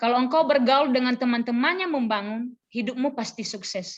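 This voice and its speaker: Here a woman speaks with a high pitch. Her pace is fairly quick. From Nias, North Sumatra, Indonesia. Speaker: preacher, church worker and teacher. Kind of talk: sermon. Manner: conversational.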